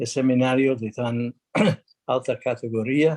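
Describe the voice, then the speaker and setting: A man speaks very slowly in a non-native accent, his medium-pitched voice dark and mellow. The intonation is monotone and flat, and the sound is dry and close with no echo. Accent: non-native Spanish speaker. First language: English (speaking Spanish). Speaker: international arbitrator and lawyer. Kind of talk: conference talk. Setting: video call without video. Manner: halting, many fillers.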